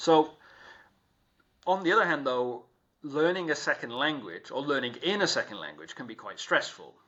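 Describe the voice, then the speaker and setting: A man's normal speaking voice with lively intonation at a moderate pace. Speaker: podcast host. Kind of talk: podcast interview questions.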